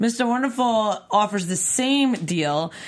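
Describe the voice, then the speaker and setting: With an American accent and lively intonation, a woman with an unremarkable speaking voice speaks at a fairly slow pace. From New York. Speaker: aftershow host. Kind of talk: casual panel banter.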